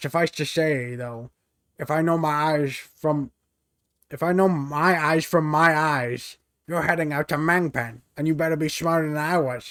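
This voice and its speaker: A man talks at a moderate pace in a put-on character voice. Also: fairly high pitch for a man. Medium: game stream. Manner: rambling, stammering.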